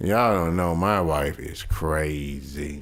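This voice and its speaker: A man mumbles as he speaks. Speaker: podcast co-host, married man. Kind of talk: casual chat. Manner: mumbling; animated.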